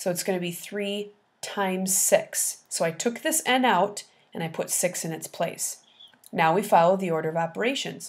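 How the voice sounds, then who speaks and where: In a very clean recording over a silent background, a woman with an unremarkable speaking voice talks at a moderate pace, medium in pitch with ordinary pitch variation. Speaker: math teacher. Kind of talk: tutorial.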